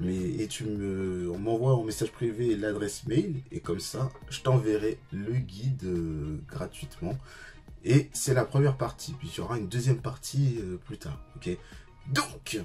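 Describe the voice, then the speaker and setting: Over music in the background, a man speaks with lively intonation and big swings in loudness. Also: medium pitch for a man, fairly slow pace. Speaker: fitness coach vlogger. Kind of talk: casual vlog. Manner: hesitant, many fillers.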